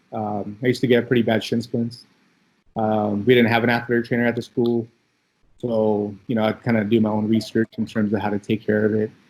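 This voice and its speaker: Fairly quick and flat in a monotone, a man with a Californian accent speaks at a medium pitch. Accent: Californian American English. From Philippines (Manila), then Bay Area (Daly City) from childhood. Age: 30s. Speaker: athletic trainer. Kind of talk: casual interview. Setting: podcast. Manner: casual, many fillers.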